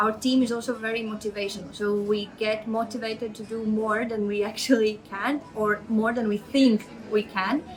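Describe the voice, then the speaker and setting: A moderate pace with hardly any pauses, monotone, flat intonation in a Latvian accent, and music in the background. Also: woman, fairly high pitch for a woman. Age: 30s. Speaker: project manager. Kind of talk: interview testimony. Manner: hesitant, many fillers.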